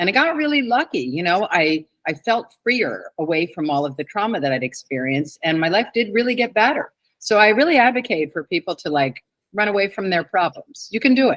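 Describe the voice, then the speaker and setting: A woman with an American accent speaks fairly quickly at a medium pitch, her pitch swinging very widely. The sound is dry and close, with no echo. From New York City (Manhattan) and central New Jersey. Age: 60s. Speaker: author. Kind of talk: interview.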